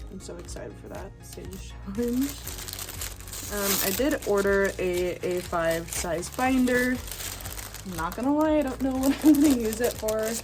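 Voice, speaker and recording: A woman speaks with big swings in loudness. Audible room echo and music in the background are present. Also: fairly slow pace. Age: 20s. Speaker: budgeting vlogger. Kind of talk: casual vlog chat. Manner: many filler words (um, like).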